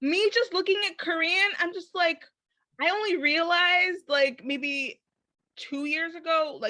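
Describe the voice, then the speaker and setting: Projecting a raised voice, a woman with an American accent speaks at a fairly slow pace in an extremely high pitch, her bright, sharp tone carrying lively intonation and big swings in loudness. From Chicago, US. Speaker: podcast host. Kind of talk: casual interview chat.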